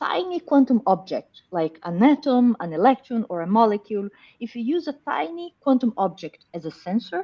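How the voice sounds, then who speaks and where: A woman with a Brazilian accent, high in pitch with a dark, mellow tone and very wide pitch swings, at a moderate pace, in a dry, close sound with no echo. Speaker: professor. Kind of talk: interview.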